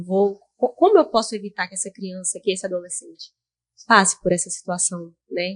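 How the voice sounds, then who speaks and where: Somewhat breathy, a woman speaks at a medium pitch and moderate pace, with a dry, close sound and no echo. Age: 20s. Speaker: highway police officer. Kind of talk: interview. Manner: halting.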